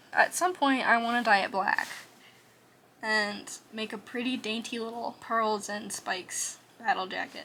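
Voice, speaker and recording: Against noticeable background noise, a woman speaks at a fairly slow pace in a fairly high pitch with ordinary pitch variation. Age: 20s. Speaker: art vlogger. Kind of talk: casual chat. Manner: soft-spoken. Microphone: quiet audio.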